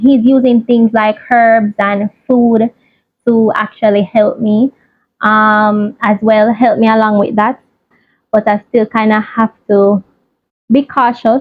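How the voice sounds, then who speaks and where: Somewhat breathy and fairly high-pitched, a woman speaks at a very slow pace in monotone, flat intonation with very even loudness. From Jamaica. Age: 20s. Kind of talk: casual personal talk to camera.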